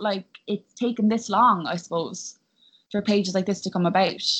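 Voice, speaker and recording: A woman talks with a Cork accent at a fairly quick pace. The background is quiet. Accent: Cork Irish. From Ireland, West Cork. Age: young. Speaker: actress. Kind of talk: casual interview. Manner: animated.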